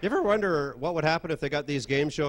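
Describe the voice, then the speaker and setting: A man speaks over noticeable background noise. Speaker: stand-up comedian. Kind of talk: stand-up comedy set.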